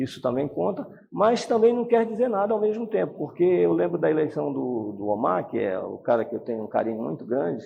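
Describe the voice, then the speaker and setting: A man with a fairly high pitch and very wide pitch swings talks at a fairly quick pace with hardly any pauses. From Brazil, Pará (Santarém). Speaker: politician, retired police colonel. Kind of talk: interview. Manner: animated.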